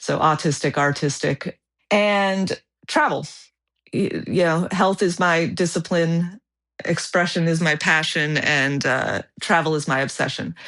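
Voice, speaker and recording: Against a quiet background, a woman speaks at a fairly low pitch. Her intonation stays fairly even. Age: 40s. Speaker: world traveler and photographer. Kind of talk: podcast interview. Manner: halting with fillers and repeats.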